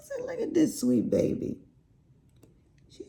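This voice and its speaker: A woman is speaking. She has a Southern US accent. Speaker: crafting YouTuber. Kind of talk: casual chat.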